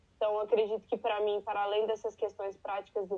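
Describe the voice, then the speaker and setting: This voice belongs to a woman. Her pitch is medium. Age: 20s. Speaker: barista, immigrant. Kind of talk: interview.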